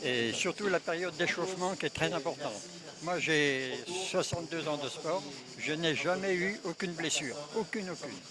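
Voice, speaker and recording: There is noticeable background noise behind this man. He speaks at a moderate pace with a high pitch. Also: ordinary pitch variation. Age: 80s+. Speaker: veteran amateur cyclist, world champion in age category. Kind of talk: interview. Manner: halting, with many fillers.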